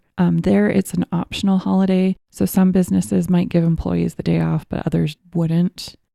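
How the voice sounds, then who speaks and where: The woman keeps a moderate pace with hardly any pauses. Her sound is dry and close, with no echo. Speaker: podcast co-host. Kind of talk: casual chat. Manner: casual, hesitant with fillers.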